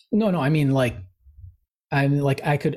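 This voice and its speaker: A somewhat breathy male voice. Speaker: podcast co-host. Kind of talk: casual chat.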